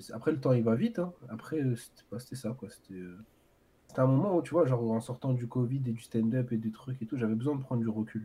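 The voice has a dark, mellow tone and sounds somewhat breathy. It moves at a fairly quick pace with ordinary pitch variation. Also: man, medium pitch for a man. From Paris area, France (Ivry). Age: 20s. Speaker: maths teacher. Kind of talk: casual chat. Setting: livestream.

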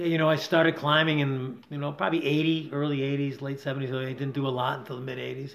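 In an American accent, a man with a fairly high pitch talks at a fairly quick pace with hardly any pauses, amid audible room echo and noticeable background noise. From Rochester, New York. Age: 60s. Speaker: climbing guide. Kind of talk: casual interview. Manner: animated.

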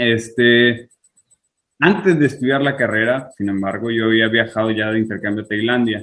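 In a Sinaloan accent, a man speaks at a medium pitch and a moderate pace with ordinary pitch variation. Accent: Sinaloa. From Mexico, Culiacán and Tijuana. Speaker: IT worker abroad. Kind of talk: casual interview.

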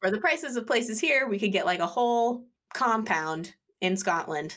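In an unremarkable speaking voice, a woman talks at a moderate pace with lively intonation and very even loudness. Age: 30s. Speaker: podcast co-host. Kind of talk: casual chat. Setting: video call.

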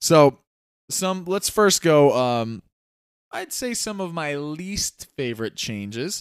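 A man's fairly high voice at a very slow pace, with very wide pitch swings, on a very clean recording with a silent background. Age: 30s. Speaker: podcast host. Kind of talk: casual chat. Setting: livestream.

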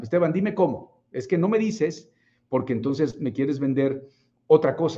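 A fairly high-pitched male voice with a dark, mellow tone. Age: 40s. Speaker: business coach. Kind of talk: livestream talk. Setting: live stream.

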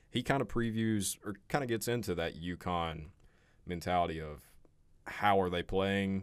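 The recording is very clean, the background silent. A man with an ordinary speaking voice talks at a moderate pace and fairly low pitch, with ordinary pitch variation. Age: 20s. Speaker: college sports podcast host. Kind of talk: casual sports chat.

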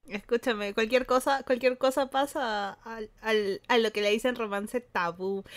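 An unremarkable speaking voice from a woman, fairly high in pitch, with ordinary pitch variation, a fairly slow pace and hardly any pauses. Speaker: podcast co-host. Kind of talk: casual chat.

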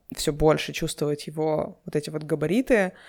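In a very clean recording with a silent background, a plain, everyday voice talks at a moderate pace with ordinary pitch variation. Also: woman. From Urals, Russia (Yekaterinburg). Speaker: podcast host. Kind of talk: solo podcast monologue.

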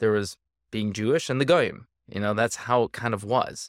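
With an American accent and a normal speaking voice, a man talks at a moderate pace and medium pitch with fairly even intonation, the sound dry and close with no echo in a very clean recording with a silent background. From Minnesota, St. Paul. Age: 40s. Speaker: dentist and powerlifter. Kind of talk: casual chat.

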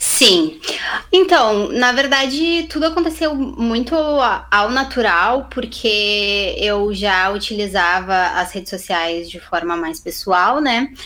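A woman speaks very slowly at a fairly high pitch, her voice swinging very widely. Noticeable background noise runs underneath. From southern Brazil, Camaquã (Rio Grande do Sul). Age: 20s. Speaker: digital entrepreneur. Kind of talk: casual interview chat. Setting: video call.

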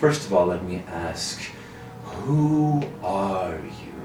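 A put-on character voice from a man, very deep and low in pitch and very slow, with clear background noise and a slight echo. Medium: actual play. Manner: condescending, regal.

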